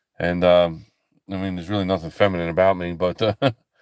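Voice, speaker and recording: A man is speaking. His pitch is very deep and low. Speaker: livestreaming ministry host. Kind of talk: casual live stream chat with viewers. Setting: live broadcast. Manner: halting, many fillers and repeats.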